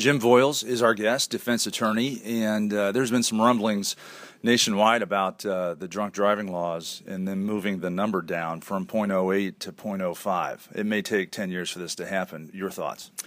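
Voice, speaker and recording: A man with a northern US accent speaks at a fairly low pitch. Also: moderate pace, hardly any pauses. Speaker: radio talk show host. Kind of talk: interview. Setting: stage with audience. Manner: animated.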